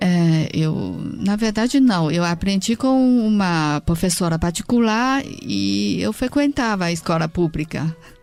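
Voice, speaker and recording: A woman speaks in a Chinese accent at a fairly slow pace. Her fairly low pitch swings very widely. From China. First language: Mandarin Chinese (speaking Portuguese). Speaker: dance company director and translator. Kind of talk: interview.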